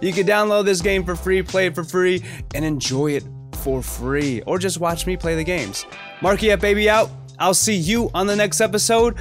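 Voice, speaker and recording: The speech moves at a moderate pace, with faint music in the background. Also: man. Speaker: gaming video host. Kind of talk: casual gameplay commentary. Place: home room. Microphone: studio mic.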